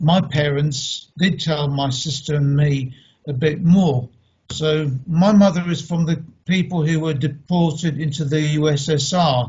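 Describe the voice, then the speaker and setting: A man in a London accent talks at a fairly slow pace with fairly even intonation. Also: fairly high pitch for a man. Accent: British English (London). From England (London), Polish family. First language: Polish. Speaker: speaker on heritage. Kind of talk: online talk.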